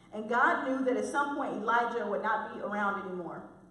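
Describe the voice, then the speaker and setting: A woman with an American accent speaks at a moderate pace with a fairly high pitch and lively intonation, amid noticeable background noise and audible room echo. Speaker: lay preacher. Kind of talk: sermon. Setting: church.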